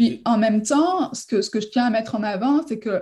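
A woman speaks with a fairly high, somewhat breathy voice. Her tone is dark and mellow, with ordinary pitch variation. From southern France, near Marseille. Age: 30s. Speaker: real estate broker. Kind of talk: interview.

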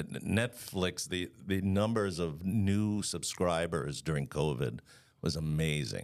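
A man's very deep, low voice in an American accent, full of lively intonation, on a very clean recording with a silent background. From Long Island, New York. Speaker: arts center executive director. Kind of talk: casual interview chat.

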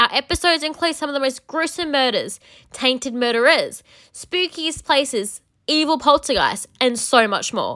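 On a very clean recording with a silent background, a woman with a high pitch talks in a raised, projected voice at a moderate pace. Her tone is animated, bright and sharp. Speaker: podcast host. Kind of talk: promo. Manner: theatrical, spooky.

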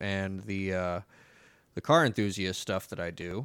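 A man speaks at a fairly low pitch with fairly even intonation. His recording is very clean, with a silent background. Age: 20s. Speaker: podcast host and photographer. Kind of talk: solo casual monologue. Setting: home recording on computer. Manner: filler-heavy, conversational.

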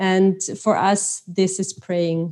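A woman talks with a German accent. The background is quiet. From Austria. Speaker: guest. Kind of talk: interview.

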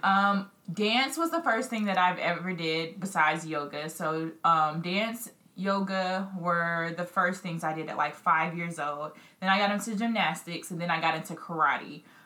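In an American accent, a woman speaks at a fairly slow pace with a fairly low pitch and a bright, sharp tone. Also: ordinary pitch variation.

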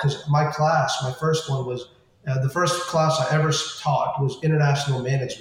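Fairly high male speech, moderately paced and fairly even in intonation, against noticeable background noise. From US, California and Florida, Indian immigrant family. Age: 30s. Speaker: business professor. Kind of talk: interview. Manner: frequent fillers and restarts.

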